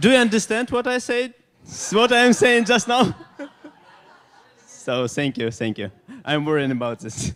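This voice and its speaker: A man with a Ukrainian accent speaks at a moderate pace in a high voice, his pitch swinging very widely and his speech broken by long, frequent pauses. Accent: Ukrainian, noticeable. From Ukraine. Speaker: design agency owner.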